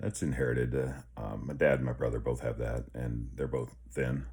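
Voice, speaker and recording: With audible room echo, a man's very deep, low voice carries vocal fry and a dark, mellow tone. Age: 50s. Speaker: health vlogger. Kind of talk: casual vlog. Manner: halting.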